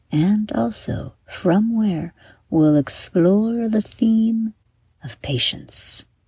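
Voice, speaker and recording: A woman speaks at a very slow pace in a medium-pitched, somewhat breathy voice with a dark, mellow, warm, soothing tone. Her intonation is lively. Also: dry, close sound with no echo. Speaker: guided meditation host for kids. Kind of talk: guided bedtime meditation for children, scripted. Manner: soft, slow, soothing, gentle; warm, storytelling, dreamy.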